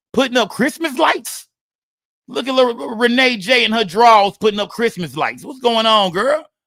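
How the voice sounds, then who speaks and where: A man speaks in a raised, projected voice with music in the background. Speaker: live streamer. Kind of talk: casual live stream chat.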